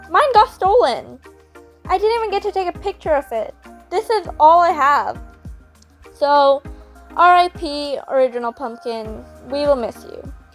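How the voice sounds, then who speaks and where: With music in the background, a high-voiced woman talks at a moderate pace, her pitch swinging very widely and her loudness in big swings, with long, frequent pauses. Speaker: hobby painter. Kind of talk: casual craft video voiceover.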